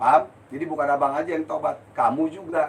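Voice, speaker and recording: The man talks at a fairly quick pace. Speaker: spiritual healer. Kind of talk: live-stream Q&A. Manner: blunt, forceful; heated.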